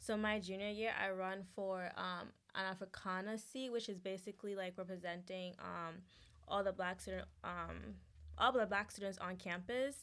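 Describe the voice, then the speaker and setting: A woman with a Ghanaian accent speaks with fairly even intonation. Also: medium pitch for a woman, moderate pace. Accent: Ghanaian, noticeable. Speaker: student body president. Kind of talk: interview. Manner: casual, hesitant with fillers.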